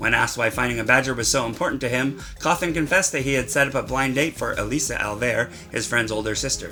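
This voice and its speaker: Over music in the background, a man races along at a very fast pace, his medium pitch showing ordinary variation. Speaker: satirical news anchor. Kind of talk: mock news broadcast, tabloid satire.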